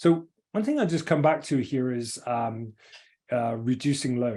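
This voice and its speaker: With an English accent, a man speaks at a medium pitch in a dark, mellow tone and with lively intonation. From England. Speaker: engineering firm executive. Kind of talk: webinar presentation. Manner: fast; halting.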